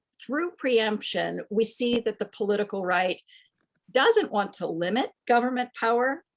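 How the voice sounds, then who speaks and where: A woman with a normal speaking voice talks at a fairly high pitch and a fairly slow pace. Her pitch varies in an ordinary way, in a dry, close sound with no echo. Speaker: history professor. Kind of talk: panel discussion talk. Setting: video call.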